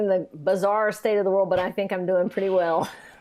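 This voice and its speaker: The speaker moves at a fairly quick pace with a Southern accent. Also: woman. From US South, Atlanta and East Tennessee. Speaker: composer. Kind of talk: interview conversation.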